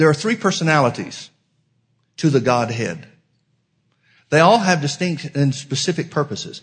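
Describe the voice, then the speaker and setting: Somewhat breathy speech with lively intonation is broken by long, frequent pauses. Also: man, quiet background. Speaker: pastor. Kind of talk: sermon. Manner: filler-heavy, halting.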